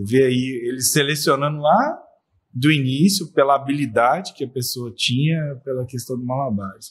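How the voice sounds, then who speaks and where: A somewhat breathy man talks at a moderate pace. His fairly high voice shows ordinary pitch variation. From interior of Minas Gerais, Brazil. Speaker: physical education professor, podcast co-host. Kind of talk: casual podcast interview.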